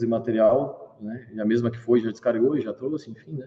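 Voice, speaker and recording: With a southern Brazilian accent, a man talks at a fairly quick pace. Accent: gaúcho (southern Brazilian). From southern Brazil, Rio Grande do Sul. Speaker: startup founder and CEO. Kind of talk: live interview. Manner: animated.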